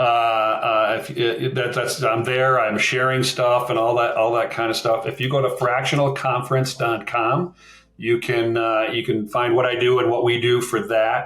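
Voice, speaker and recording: At a moderate pace, a man speaks at medium pitch with fairly even intonation. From Minnesota, US. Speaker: fractional marketing executive. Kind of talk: podcast interview.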